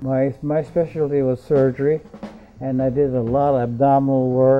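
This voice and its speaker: Over music in the background, the speaker delivers lines at a moderate pace with monotone, flat intonation. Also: man. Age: 80s+. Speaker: retired surgeon. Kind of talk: life story interview. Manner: halting, many fillers.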